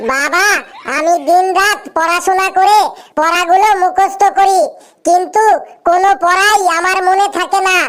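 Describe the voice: A cartoonish character voice sits at an extremely high pitch. It moves at a fairly slow pace.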